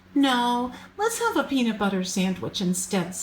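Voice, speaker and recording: Putting on a squeaky character voice, a woman speaks at a moderate pace with a fairly high pitch. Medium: read story.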